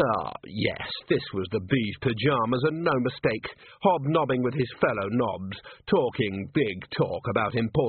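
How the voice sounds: Lively intonation runs through the natural voice reading aloud.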